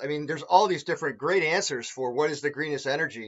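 Very fast in pace, a man talks with a fairly high pitch and ordinary pitch variation. The background is quiet. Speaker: energy auditor. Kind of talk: webinar presentation. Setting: video call. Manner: fast talker. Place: home room. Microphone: webcam.

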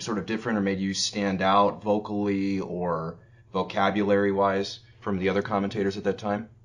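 In an unremarkable speaking voice, a man delivers his words at a moderate pace, his pitch fairly low. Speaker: interviewer. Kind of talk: interview questions.

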